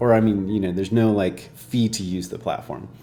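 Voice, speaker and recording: Over noticeable background noise, a soft-spoken man with a fairly low pitch talks at a moderate pace with fairly even intonation. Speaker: software developer streamer. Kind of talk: live coding stream tutorial. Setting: live stream. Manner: casual, hesitant with fillers.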